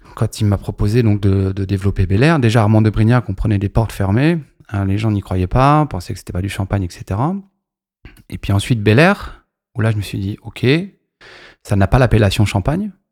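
In a very clean, dry recording with no echo and a silent background, a man with a fairly low pitch and ordinary pitch variation speaks at a moderate pace, with long, frequent pauses. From Paris region, France (Maisons-Alfort). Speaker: champagne brand entrepreneur. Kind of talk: interview.

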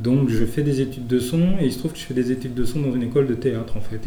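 Speaking at a fairly quick pace, a man uses ordinary pitch variation, with audible room echo and noticeable background noise. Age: 50s. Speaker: composer and sound engineer. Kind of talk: stage talk to concert audience. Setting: concert hall with audience. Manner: halting, many hesitations.

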